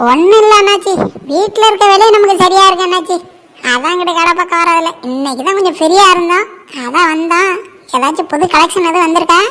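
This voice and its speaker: A woman does a cartoonish character voice at an extremely high pitch. She speaks at a fairly quick pace. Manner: brisk, bossy.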